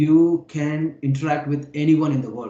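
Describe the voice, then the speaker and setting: This man's voice has a fairly high pitch and a dark, mellow tone. It is also somewhat breathy. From India (Hyderabad). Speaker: YouTuber, English conversation partner. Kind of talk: casual conversation practice.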